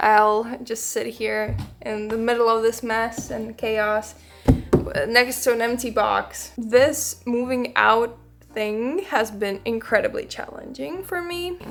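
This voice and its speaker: A woman's fairly high pitch in a Latvian accent, with ordinary pitch variation at a very slow pace. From Latvia, Riga. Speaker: musician and music producer. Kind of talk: casual vlog talk.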